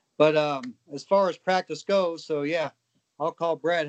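A man's unremarkable speaking voice, fairly high, with ordinary pitch variation. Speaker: professional cornhole player. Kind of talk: interview.

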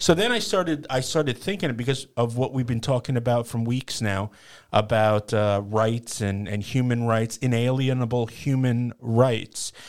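A man with an unremarkable speaking voice talks at a moderate pace and medium pitch, recorded very cleanly against a silent background. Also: ordinary pitch variation. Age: 40s. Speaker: co-host and tech operator. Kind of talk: casual chat.

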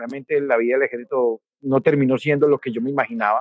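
Speaking at a fairly quick pace, a man has a fairly high pitch. The sound is dry and close, with no echo. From Colombia, Risaralda coffee region. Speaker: coffee institute director and grower. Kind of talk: interview testimony. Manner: halting, with repetitions.

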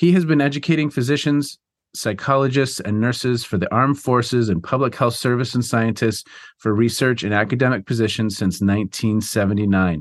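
A man with a normal speaking voice talks at a moderate pace and medium pitch, with ordinary pitch variation and very even loudness. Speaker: podcast host and professor. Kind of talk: interview intro and discussion.

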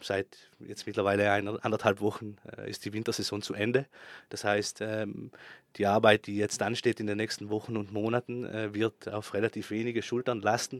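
A man speaks in a monotone, with flat intonation, at a moderate pace. The recording is very clean, with a silent background and a dry, close sound with no echo. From South Tyrol, Italy (Bozen). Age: 30s. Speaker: ski resort operations manager. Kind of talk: interview. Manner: hesitant, with filler sounds.

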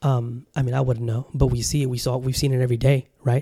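Speaking very fast with an American accent, a man has a medium-pitched, somewhat breathy voice and a dark, mellow tone. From Southern California. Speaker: podcast host. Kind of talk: casual monologue. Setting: home studio with camera. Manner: animated.

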